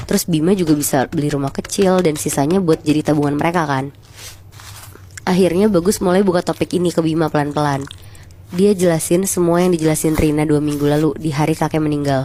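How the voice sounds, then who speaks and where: A woman with a very deep, low pitch speaks at a very fast pace, her intonation fairly even and her loudness very even throughout. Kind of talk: horror story retelling, casual storytelling to listeners. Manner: conversational, relaxed.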